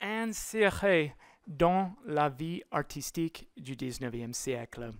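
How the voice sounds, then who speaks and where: With a non-native accent, a woman speaks at a very slow pace, her pitch swinging very widely. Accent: foreign accent in French. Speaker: lecturer. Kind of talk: lecture.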